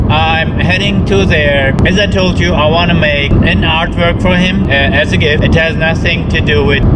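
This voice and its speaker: A man at a moderate pace against loud background noise. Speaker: artist vlogger. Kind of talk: casual vlog chat. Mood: relaxed, chatty. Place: car. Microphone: phone near.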